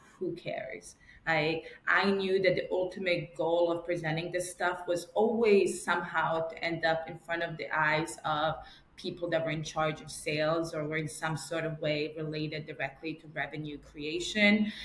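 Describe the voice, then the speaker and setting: With an American accent, a woman talks at a moderate pace in a fairly low, monotone, flat voice whose loudness swings widely, over noticeable background noise. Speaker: marketing director. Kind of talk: podcast interview. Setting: call.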